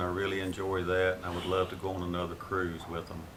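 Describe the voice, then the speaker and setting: A man's very deep, low voice in an American accent, with noticeable background noise and audible room echo. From Florida. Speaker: grandfather interviewed by grandchild. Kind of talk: family history interview.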